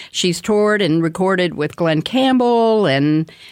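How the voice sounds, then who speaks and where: A woman with a normal speaking voice and medium pitch. She goes at a fairly slow pace with ordinary pitch variation. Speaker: radio host. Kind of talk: radio interview, conversational. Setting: radio studio.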